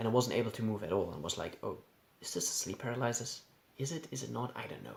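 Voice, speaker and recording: Noticeable background noise sits under a man speaking at a very fast pace. He has a German accent and lively intonation. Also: medium pitch for a man. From Germany. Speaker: YouTuber sharing personal experiences. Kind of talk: personal storytelling. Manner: halting, with repetitions.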